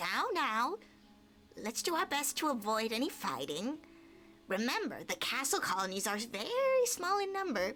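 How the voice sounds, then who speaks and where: A woman puts on a character voice, pitched high, with very wide pitch swings. She talks at a moderate pace over clear background noise. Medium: game stream. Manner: confident, breezy.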